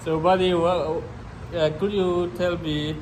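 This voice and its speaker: Over noticeable background noise and audible room echo, a man with a northeastern Indian accent speaks at a fairly slow pace. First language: Mizo. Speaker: vlogger. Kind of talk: casual chat. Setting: gym.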